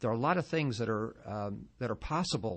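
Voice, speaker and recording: An unremarkable speaking voice from a man, fairly low in pitch, with lively intonation and a fairly quick pace. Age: 60s. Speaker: doctor, aging expert. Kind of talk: radio interview. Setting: radio studio.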